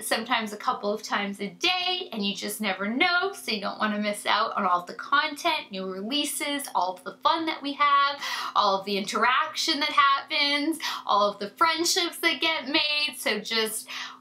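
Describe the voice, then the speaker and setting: A woman speaks in a high, animated voice with very wide swings in pitch and hardly any pauses. Noticeable background noise runs under her. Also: moderate pace. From Canada. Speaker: beauty YouTuber. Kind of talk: casual chat to camera.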